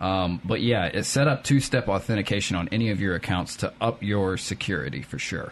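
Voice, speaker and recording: A man with a Southern US accent speaks at a fairly quick pace in a fairly low voice, with lively intonation and hardly any pauses. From Hattiesburg, Mississippi. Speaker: tech expert. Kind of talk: casual chat. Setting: studio.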